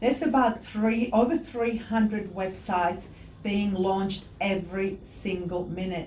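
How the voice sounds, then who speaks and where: With a non-native accent, a woman speaks fairly slowly at a medium pitch with ordinary pitch variation, and room echo is audible. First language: not English. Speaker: website designer. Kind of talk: interview.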